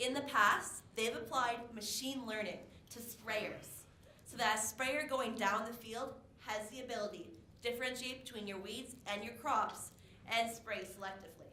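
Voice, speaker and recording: A woman with a Canadian accent, fairly high-pitched, with big swings in loudness, audible room echo and noticeable background noise. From Eastern Canada. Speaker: farm equipment sales rep. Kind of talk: conference presentation. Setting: stage with audience. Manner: fast; animated.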